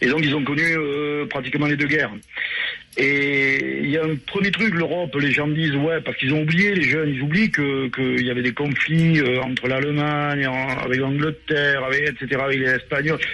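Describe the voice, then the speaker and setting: Fairly high-pitched male voice with very even loudness, fairly even intonation and a moderate pace against noticeable background noise. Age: 60s. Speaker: radio caller. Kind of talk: casual call-in chat.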